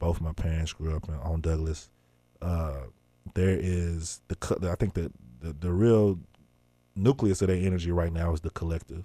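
Against a silent background in a very clean recording, a man with a Memphis accent speaks at a moderate pace in a very deep, low pitch, his tone dark and mellow, his intonation fairly even, and his pauses long and frequent. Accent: Southern US (Memphis). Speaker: journalist and hip-hop artist. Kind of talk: interview.

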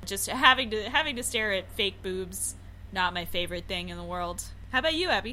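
A woman with a medium-pitched voice speaks at a fairly quick pace with lively intonation and big swings in loudness, over noticeable background noise. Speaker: podcast host. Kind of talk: casual chat. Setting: remote recording.

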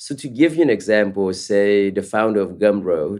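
A man speaks at a moderate pace with ordinary pitch variation and a medium pitch. His is a plain, everyday voice. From US West Coast, East Palo Alto (Vietnamese immigrant family). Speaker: startup founder and CEO. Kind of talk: interview.

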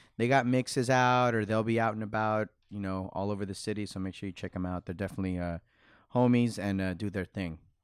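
A man with an American accent talks very fast in a fairly low pitch, his intonation fairly even. The recording is very clean, with a silent background. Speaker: podcast co-host and audio editor. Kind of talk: casual chat.

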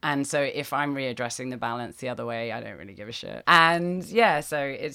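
A woman's bright, sharp voice with vocal fry, at a fairly quick pace. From Britain. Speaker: startup founder. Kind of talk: interview. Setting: on a houseboat.

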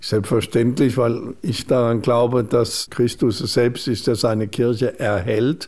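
Speaking at a very slow pace with hardly any pauses, a man keeps a medium pitch and fairly even intonation. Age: 60s. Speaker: bishop. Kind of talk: radio interview.

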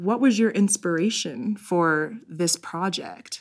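A woman with an American accent in a normal speaking voice, medium in pitch with lively intonation, in a very clean recording against a silent background. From Denver, US. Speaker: podcast host. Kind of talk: casual interview chat.

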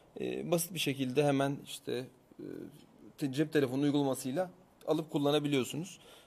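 The man talks at a moderate pace. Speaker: tech show co-host. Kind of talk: casual chat. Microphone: new microphone.

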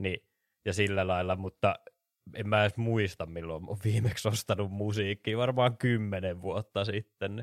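In a very clean recording with a silent background and a dry, close sound with no echo, a man with a normal speaking voice speaks at a fairly slow pace, his fairly low pitch held in fairly even intonation. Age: 20s. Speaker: podcast co-host. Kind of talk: casual chat.

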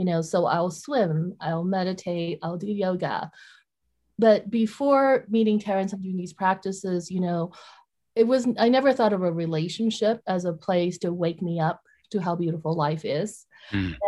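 On a very clean recording with a silent background, a woman speaks at a moderate pace in a medium pitch, her somewhat breathy voice dark and mellow in tone, with ordinary pitch variation. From Vietnam. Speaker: author. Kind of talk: interview.

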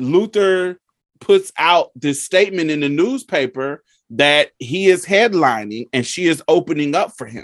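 In a Southern US accent, a man speaks at a fairly high pitch and a fairly slow pace. The recording is dry and close with no echo. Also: lively intonation. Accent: Southern, heard as country. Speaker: podcast host. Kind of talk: casual chat.

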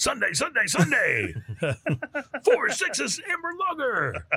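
Using a put-on character voice, a man talks at an extremely high pitch and a fairly slow pace. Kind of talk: over-the-top ad announcer. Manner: loud, bombastic, shouting.

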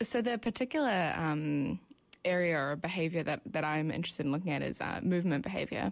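With a New Zealand accent, a woman speaks at a very fast pace in a fairly low pitch, her intonation lively and her loudness very even. The recording is very clean, with a silent background. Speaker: ecology PhD student. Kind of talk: interview. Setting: radio studio. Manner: hesitant, many fillers.

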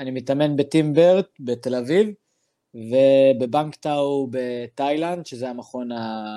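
Speaking at a very slow pace, a man with a medium-pitched, dark and mellow tone shows ordinary pitch variation and big swings in loudness. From Israel, Druze from Daliyat al-Karmel. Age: 20s. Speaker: MMA fighter. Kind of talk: interview.

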